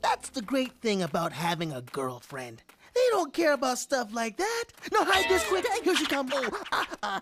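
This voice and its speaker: The voice is a cartoonish character voice. Its pitch sits fairly high. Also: moderate pace. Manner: goofy, easygoing.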